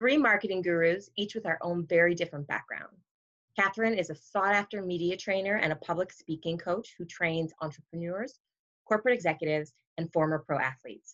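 A normal speaking voice from a woman, fairly low in pitch, with ordinary pitch variation and a fairly quick pace. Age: 30s or 40s. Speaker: business development coach and podcast co-host. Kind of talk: casual chat.

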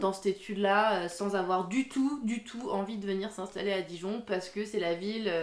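This woman has a normal speaking voice at a medium pitch. She talks at a fairly slow pace with fairly even intonation. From Alsace, France. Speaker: coffee shop owner. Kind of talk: interview.

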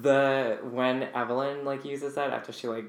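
A man speaks with an American accent, and audible room echo surrounds his voice. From rural US East Coast. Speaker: podcast host. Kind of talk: casual chat.

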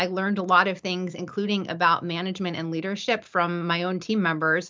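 In an American accent, a woman with a plain, everyday voice speaks at a moderate pace and medium pitch, her intonation fairly even. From US East Coast. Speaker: company general counsel, former litigator. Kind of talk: podcast interview.

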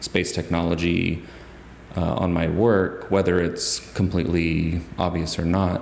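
A voice with an American accent speaks in a monotone, flat intonation amid noticeable background noise and audible room echo. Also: man. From US South, Huntsville, Alabama. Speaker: photographic artist. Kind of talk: interview. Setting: art gallery.

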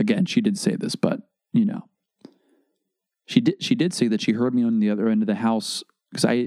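A man with a medium pitch and a dark, mellow tone talks at a fairly quick pace with long, frequent pauses and very wide pitch swings in a dry, close sound with no echo. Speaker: podcast host. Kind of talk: casual monologue. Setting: home bedroom recording. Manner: low volume, quiet; casual, halting with false starts.

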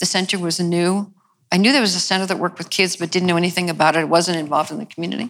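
With an American accent, a woman uses an unremarkable speaking voice, a fairly low pitch and fairly even intonation. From New York. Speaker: attitudinal healing co-founder and teacher. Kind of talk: interview conversation.

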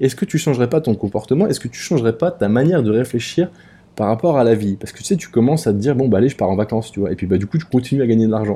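A man talks at a very fast pace with a dark, mellow tone at medium pitch. He sounds somewhat breathy, with lively intonation, against a quiet background. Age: 30s. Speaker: podcaster. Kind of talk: casual monologue. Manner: hesitant, many fillers.

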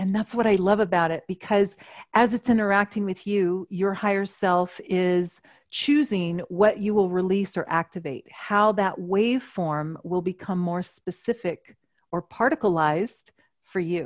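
At a fairly slow pace, a woman with an unremarkable speaking voice talks at a medium pitch with ordinary pitch variation, in a dry, close sound with no echo and a quiet background. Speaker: energy healer and channel. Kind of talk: casual interview chat.

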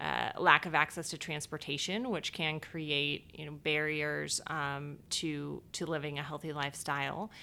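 A woman with an American accent speaks with vocal fry at a very deep, low pitch, in a bright, sharp tone. Her intonation is fairly even, and she talks at a fairly slow pace with hardly any pauses. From Ohio, Cleveland area. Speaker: nonprofit executive director. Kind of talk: interview.

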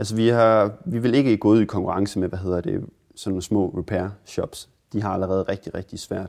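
With a plain, everyday voice, a man talks in a fairly low pitch at a moderate pace, showing ordinary pitch variation. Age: 20s. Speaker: repair café founder. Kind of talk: interview.

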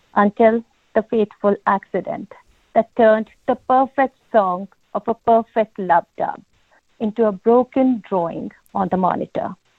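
A woman speaks with a strong non-native accent at a fairly slow pace. Her pitch is fairly high. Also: ordinary pitch variation. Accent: heavy non-native accent (self-described). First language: not English. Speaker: caller reading own poem. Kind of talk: poetry reading. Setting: phone call into live session.

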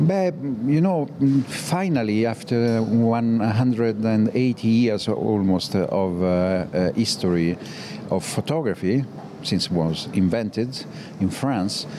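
A man speaks at a very slow pace with lively intonation and very even loudness, over noticeable background noise. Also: medium pitch for a man. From Italy. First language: Italian. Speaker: photographer. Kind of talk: interview. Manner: halting.

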